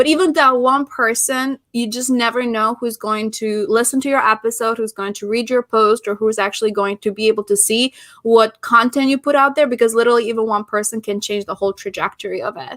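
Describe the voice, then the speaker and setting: Speaking in an Albanian accent, a woman keeps a fairly high pitch and fairly even intonation. She moves at a fairly quick pace with hardly any pauses, in a dry, close sound with no echo. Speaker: podcast host and business founder. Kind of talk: interview conversation. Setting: live stream.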